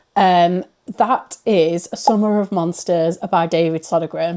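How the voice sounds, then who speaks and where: A woman with a British accent speaks in a dark, mellow tone. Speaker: book reviewer. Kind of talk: casual vlog-style book reviews. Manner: chatty, rambling.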